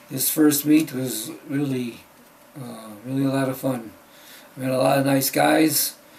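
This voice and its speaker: Over noticeable background noise, a man talks at a fairly slow pace in a medium pitch with monotone, flat intonation. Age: 70s. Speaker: powerlifter. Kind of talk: casual talk to camera.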